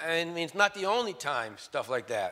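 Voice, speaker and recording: A man's bright, sharp-toned voice, pitched high, at a moderate pace. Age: 60s. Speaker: preacher. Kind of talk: sermon.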